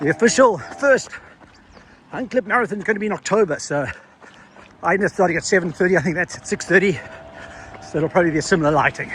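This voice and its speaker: At a very fast pace, the speaker talks with ordinary pitch variation against noticeable background noise. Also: man. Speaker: running coach and vlogger. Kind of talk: vlog narration while running.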